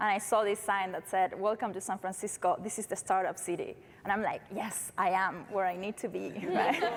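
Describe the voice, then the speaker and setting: A woman with a Uruguayan accent speaks at a fairly quick pace, her medium pitch carrying fairly even intonation. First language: Spanish. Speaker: startup founder. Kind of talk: panel discussion.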